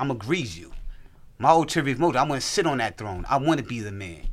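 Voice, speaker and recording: A man talks at a fairly quick pace. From US South. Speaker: guest's cousin and label partner. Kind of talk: casual chat.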